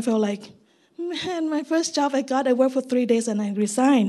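A woman with a Thai accent speaks at a high pitch in a dark, mellow tone. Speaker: missionary. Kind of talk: testimony. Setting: church service.

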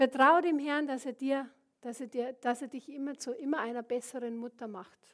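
A woman's high-pitched voice in a Bavarian accent. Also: fairly even intonation, moderate pace. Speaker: preacher. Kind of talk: sermon.

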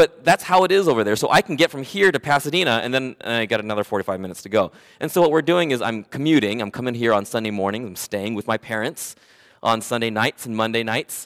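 A man with an American accent speaks very fast at a medium pitch, his intonation lively. The recording is very clean and dry, with a silent background and no echo. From Southern California (Oxnard). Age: 40s. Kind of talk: sermon. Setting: church.

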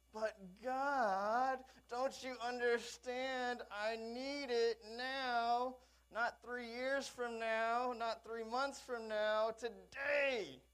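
A fairly high, whiny put-on character voice speaks at a very slow pace. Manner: whiny, immature.

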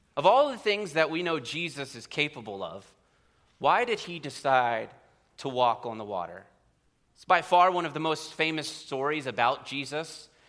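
This speaker has an American accent and a moderate pace, with very wide pitch swings and big swings in loudness. The recording is very clean, the background silent. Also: man, fairly high pitch for a man. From central Pennsylvania. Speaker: preacher. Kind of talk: sermon. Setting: church.

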